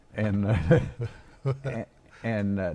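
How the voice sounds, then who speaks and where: A man with an Arkansas accent, dark, mellow tone and ordinary pitch variation. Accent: Southern US (Arkansas). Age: 80s+. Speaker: retired band director and drummer. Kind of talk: casual chat.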